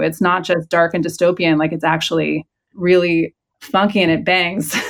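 In a very clean recording with a silent background, a woman with a Californian accent speaks at a moderate pace. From San Francisco Bay Area. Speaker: historian and author. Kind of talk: interview.

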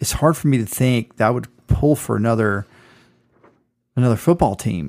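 A man with an American accent and a plain, everyday voice, at a fairly quick pace with lively intonation. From Southeast Georgia, US South. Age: 40s. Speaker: sports podcast co-host. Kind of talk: casual chat.

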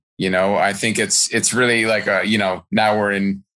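A man talks at a fairly slow pace in a fairly low pitch. His tone is enthusiastic. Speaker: podcast host. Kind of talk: casual interview. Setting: remote recording.

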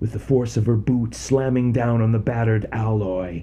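Intonation stays fairly even in this case of reading aloud in a natural voice.

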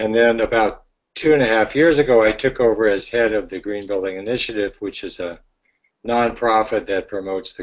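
A plain, everyday voice with an American accent, ordinary pitch variation, and a moderate pace. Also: man. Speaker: green building consultant and author. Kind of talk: webinar presentation. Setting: online webinar call.

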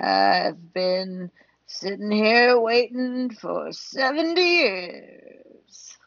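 In a put-on character voice that sounds female, the speaker uses a fairly high pitch and a very slow pace.

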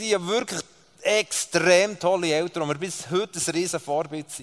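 A man with a Swiss accent talks at a moderate pace. Noticeable background noise sits behind him. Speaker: preacher. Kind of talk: sermon. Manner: animated.

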